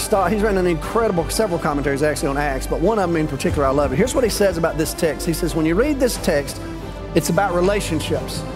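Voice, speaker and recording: Very fast speech over clear music in the background. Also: man. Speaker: pastor preaching. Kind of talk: sermon. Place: church. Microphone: headset.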